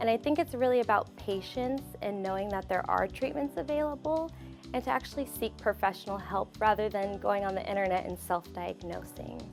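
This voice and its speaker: A woman talks fairly quickly with a General American accent. Music plays in the background. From Phoenix, Arizona. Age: 20s. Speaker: hair loss patient. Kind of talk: testimonial interview answer.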